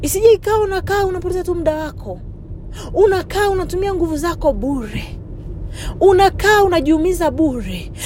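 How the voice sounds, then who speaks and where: A woman's extremely high pitch in an animated tone, ordinary pitch variation, moderate pace, and noticeable background noise. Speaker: preacher. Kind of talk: sermon. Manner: animated, urgent exhortation; fervent, commanding preaching delivery.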